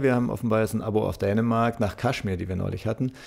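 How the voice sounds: With vocal fry, a man speaks at a fairly low pitch in a slightly mellow tone.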